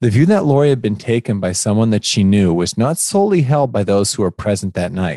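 In a plain, everyday voice, a man with a fairly low pitch speaks at a fairly quick pace, with hardly any pauses. His intonation is lively, and the background is quiet. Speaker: podcast co-host. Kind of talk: scripted narration and ad read.

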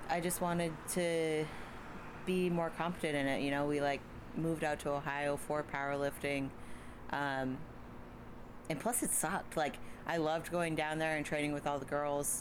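Heard with audible room echo, a woman speaks at a very deep, low pitch with fairly even intonation. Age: 20s. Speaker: powerlifter. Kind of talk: casual chat. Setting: outdoors on a back porch.

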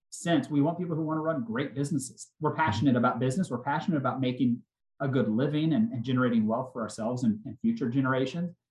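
A somewhat breathy man's voice with an American accent, medium pitch, ordinary pitch variation, and a very fast pace. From Oklahoma. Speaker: restaurant chain CEO. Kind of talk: casual interview.

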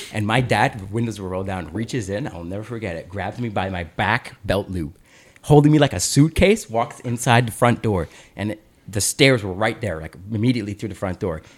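This man has a normal speaking voice with a fairly low pitch and ordinary pitch variation. He moves at a fairly quick pace, and his loudness swings widely. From Canada (Aurora, Ontario). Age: 20s. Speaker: podcast host. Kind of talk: casual chat.

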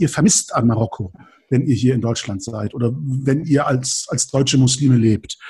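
Somewhat breathy, this voice carries a dark, mellow tone. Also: man. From northern Germany (Lübeck), Turkish family. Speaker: podcaster. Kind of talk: casual chat.

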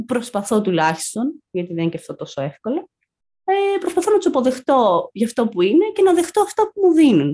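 Here a woman speaks at a high pitch and a moderate pace in a dark, mellow tone. Her pitch swings very widely. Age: 20s. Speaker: graduate student, therapy client. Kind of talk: personal testimony in interview.

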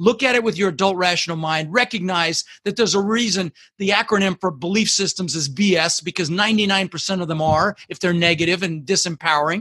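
Raised and projected, a man's bright, sharp voice runs at a fairly quick pace, high in pitch with ordinary pitch variation. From Netherlands, moved to US at six. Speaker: entrepreneur and goal-setting coach. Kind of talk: interview with advice. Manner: emphatic.

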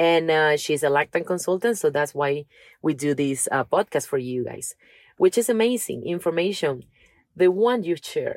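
A woman's fairly low voice with a Spanish accent and lively intonation at a moderate pace, dry and close with no echo. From Venezuela. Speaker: podcast co-host. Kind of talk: reading aloud.

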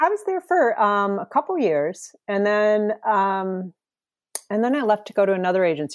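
With an ordinary speaking voice, a woman talks at a fairly quick pace and with lively intonation. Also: dry, close sound with no echo. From US Midwest (rural Wisconsin). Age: 50s. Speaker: talent acquisition manager, former art director. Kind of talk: interview conversation. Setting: remote call.

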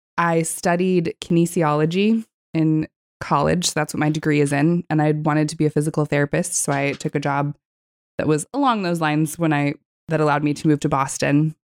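Recorded dry and close with no echo, a woman with an American accent speaks at a very deep, low pitch with fairly even intonation. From Texas and California. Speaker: florist and business co-owner. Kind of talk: casual interview.

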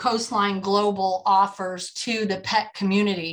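Talking at a fairly slow pace, a woman with an unremarkable speaking voice sits at a fairly high pitch. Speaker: podcast host and estate planning attorney. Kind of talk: interview.

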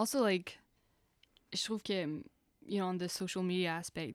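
A woman's medium-pitched voice at a fairly slow pace, dry and close with no echo, on a very clean recording with a silent background. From Quebec (Outaouais). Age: young. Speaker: filmmaker. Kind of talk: casual chat. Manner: code-switching French-English.

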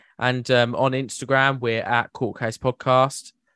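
Someone speaks fairly slowly with a southern English accent. The sound is dry and close with no echo, over a quiet background. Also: man. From West Sussex, southern England. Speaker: podcast host and producer. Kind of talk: casual chat.

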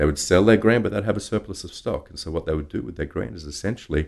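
A man with an Australian accent talks at a very fast pace, his intonation lively and touched with vocal fry. The background is quiet. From Australia (Brisbane). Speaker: drinks industry professional and brand ambassador. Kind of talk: interview conversation.

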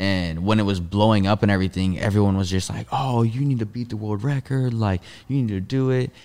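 With hardly any pauses, a man speaks at a fairly quick pace in a dark, mellow tone, his fairly low pitch varying in an ordinary way. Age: 20s. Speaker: movement athlete. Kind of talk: casual chat.

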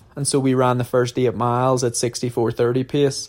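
In an Irish accent, a man talks at a moderate pace with a medium pitch and monotone, flat intonation. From Ireland. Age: 30s. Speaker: professional marathon runner. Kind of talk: casual Q&A monologue. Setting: at altitude training camp.

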